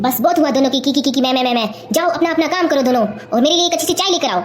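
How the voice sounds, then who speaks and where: A woman does a put-on character voice at a high pitch. She races along at a very fast pace over clear background noise. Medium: comedy sketch. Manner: scolding, domineering.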